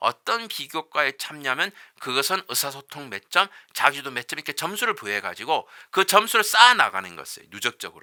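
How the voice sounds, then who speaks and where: A man with a high voice and very wide pitch swings speaks in a bright, sharp tone, recorded dry and close with no echo, very clean, over a silent background. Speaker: university professor. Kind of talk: lecture. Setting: recorded lecture video. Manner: fast.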